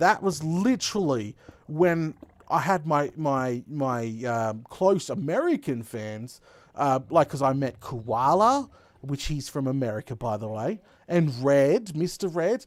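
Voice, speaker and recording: A man with an Australian accent speaks fairly slowly with a fairly high pitch and lively intonation, on a very clean recording with a silent background. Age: 20s. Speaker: gaming streamer. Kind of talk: live stream chat. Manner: animated.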